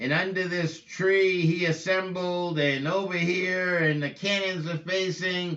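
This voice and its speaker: Over noticeable background noise, a man talks at a high pitch with hardly any pauses. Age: 50s. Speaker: preacher. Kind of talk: casual monologue. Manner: animated.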